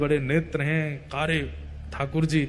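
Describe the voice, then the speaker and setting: This man speaks at a fairly high pitch with monotone, flat intonation. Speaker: religious storyteller. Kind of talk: devotional story narration.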